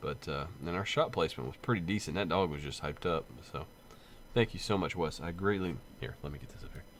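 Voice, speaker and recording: Delivered at a fairly quick pace, the voice has lively intonation and audible vocal fry. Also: man. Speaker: gaming channel host and police officer. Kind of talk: casual vlog unboxing. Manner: halting, many fillers.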